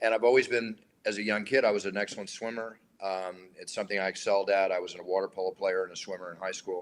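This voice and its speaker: A man with an American accent and a fairly low pitch talks at a very fast pace. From Philadelphia, USA. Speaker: UFC octagon announcer, interview guest. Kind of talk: casual interview answer. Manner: relaxed, conversational.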